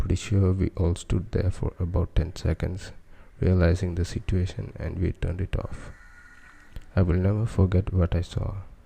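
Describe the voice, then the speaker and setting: A soft-spoken man at a moderate pace, somewhat breathy, with a dark, mellow tone, a very deep, low pitch and fairly even intonation. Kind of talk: ASMR soft-spoken story narration.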